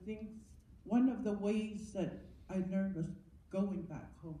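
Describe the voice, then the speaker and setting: Audible room echo surrounds a woman as she talks. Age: 70s. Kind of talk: testimony. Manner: halting, with repetitions.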